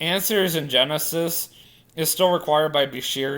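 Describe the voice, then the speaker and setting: A man speaks quietly in a very clean recording with a silent background. His pitch varies in an ordinary way. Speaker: vlogger. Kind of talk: casual vlog monologue.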